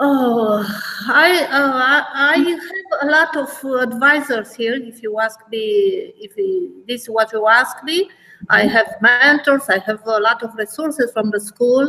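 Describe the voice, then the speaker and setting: In a Romanian accent, a woman projects a raised voice at a high pitch with a bright, sharp tone. She speaks at a fairly slow pace with lively intonation. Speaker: math teacher. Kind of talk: webinar discussion. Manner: halting, many fillers.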